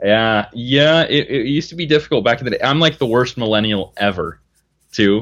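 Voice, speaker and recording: A man talks in a normal speaking voice at medium pitch, with ordinary pitch variation. His pace is moderate, and the background is quiet. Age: 20s. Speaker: wilderness outfitter and bushcraft instructor. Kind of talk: casual chat.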